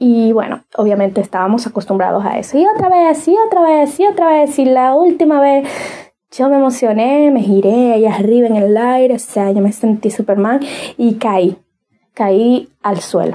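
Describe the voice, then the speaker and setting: A woman speaks at a high pitch in an animated tone. Her intonation is lively and her loudness very even. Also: moderate pace. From Dominican Republic, Cibao region. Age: 30s. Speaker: podcast host, inspirational speaker. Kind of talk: motivational monologue.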